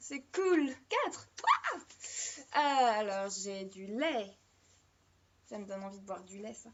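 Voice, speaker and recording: The woman speaks at a very slow pace. Her pitch swings very widely. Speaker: live-stream storyteller. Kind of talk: live stream casual chat. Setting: live stream. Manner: diction problems with h and s sounds; hesitant, many fillers.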